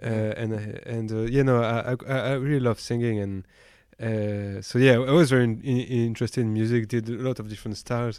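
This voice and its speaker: A man with a French accent and medium pitch speaks at a fairly quick pace in a monotone, flat intonation. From western France, countryside near Nantes. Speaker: winemaker. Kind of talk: casual chat. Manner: halting.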